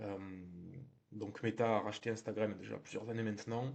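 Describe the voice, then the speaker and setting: A man talking at a fairly quick pace. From southern France. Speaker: real estate marketing trainer. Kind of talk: tutorial. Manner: conversational, frequent hesitations.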